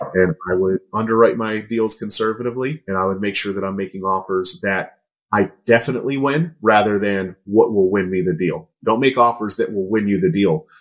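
In an American accent, a man with an ordinary speaking voice talks at a fairly low pitch and a fairly quick pace, with ordinary pitch variation and hardly any pauses. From Pittsburgh, Pennsylvania. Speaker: real estate investor. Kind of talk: casual interview chat.

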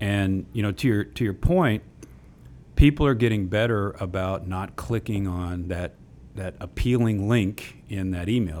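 Against a silent background in a very clean recording, a man with a slight Texas accent speaks in a fairly low pitch with ordinary pitch variation. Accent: slight Texas drawl. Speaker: technology executive. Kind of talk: radio interview. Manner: repeats words, casual.

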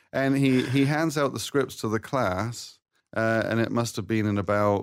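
An unremarkable speaking voice moves at a moderate pace with ordinary pitch variation, recorded very cleanly against a silent background. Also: man. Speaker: professor. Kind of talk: casual chat. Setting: studio.

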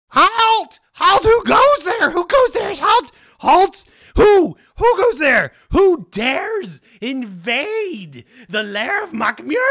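A put-on character voice sits at an extremely high pitch with very wide pitch swings. The delivery is very slow. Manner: shouting challenge.

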